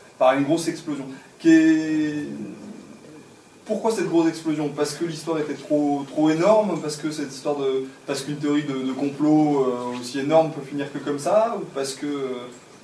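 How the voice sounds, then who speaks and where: Audible room echo and noticeable background noise surround a man whose fairly high pitch holds fairly even intonation. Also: moderate pace. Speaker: audience member. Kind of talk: question from audience. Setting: library event with audience. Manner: loud.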